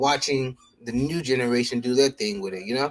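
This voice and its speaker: A man with a plain, everyday voice at medium pitch and moderate pace. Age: middle-aged. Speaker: sneaker show co-host. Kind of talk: casual chat.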